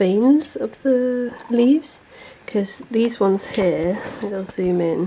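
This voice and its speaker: Speaking very slowly, a woman with a fairly high voice keeps ordinary pitch variation while noticeable background noise is present. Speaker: illustrator and craft vlogger. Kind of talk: studio vlog tutorial. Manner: casual, hesitant with fillers.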